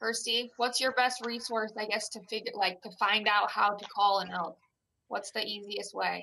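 The speaker talks at a moderate pace with a Midwestern American accent and fairly even intonation. The tone is bright and sharp, with some vocal fry. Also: woman, fairly high pitch for a woman. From Iowa, small town. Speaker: retail store employee and hunter. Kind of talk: interview questions in casual chat. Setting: video call.

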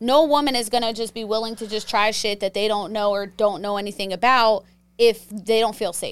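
A woman with an American accent speaks in a normal speaking voice at a fairly high pitch, moving at a fairly quick pace with fairly even intonation. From Pittsburgh, Pennsylvania. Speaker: sex therapist. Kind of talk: casual chat.

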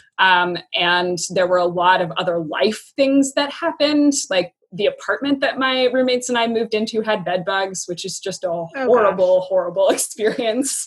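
With a West Coast accent, a woman talks at a moderate pace with lively intonation and hardly any pauses. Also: medium pitch for a woman. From US Pacific Northwest (Yakima, Washington). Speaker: former teacher. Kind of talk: casual interview. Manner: halting, with many fillers.

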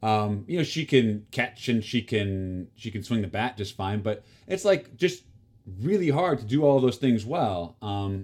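With a US Midwestern accent, a man talks at a fairly slow pace in a fairly low pitch with ordinary pitch variation. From Kansas, US. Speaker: actor and tennis player. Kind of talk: casual chat. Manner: halting, many fillers.

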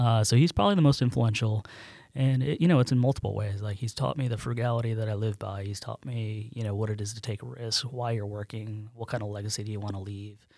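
Talking at a very fast pace, a man with a dark, mellow tone and fairly low pitch shows ordinary pitch variation. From central New York, near Syracuse. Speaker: management consultant and company co-founder. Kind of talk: casual interview.

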